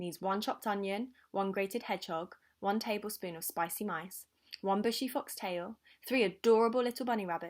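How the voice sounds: The speaker reads in a natural reading voice, with the pitch varying in an ordinary way.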